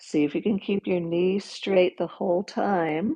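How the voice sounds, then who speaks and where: Her voice fairly low in pitch, a woman speaks in a calm, dark, mellow tone at a moderate pace, with fairly even intonation. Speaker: yoga teacher. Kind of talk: guided yoga class. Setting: livestream. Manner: instructional, calm.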